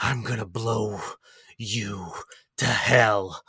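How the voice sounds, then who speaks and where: A man whispers in a raspy, put-on character voice. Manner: menacing, whispering.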